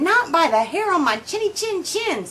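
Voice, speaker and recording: The speaker puts on a character voice with very wide pitch swings. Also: woman, extremely high pitch for a woman, moderate pace. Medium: read story.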